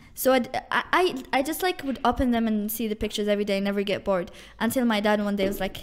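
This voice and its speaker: A woman with an Algerian accent talks at a very fast pace. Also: fairly high pitch for a woman, ordinary pitch variation. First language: Algerian Arabic. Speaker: university student. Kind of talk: casual chat. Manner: halting, many fillers.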